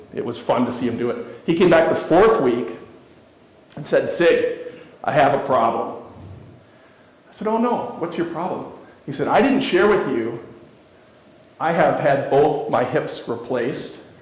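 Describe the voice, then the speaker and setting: A man talks at a moderate pace with a fairly high pitch and very wide pitch swings, leaving long, frequent pauses. There is audible room echo and noticeable background noise. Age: 50s. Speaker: keynote speaker. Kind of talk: motivational speech.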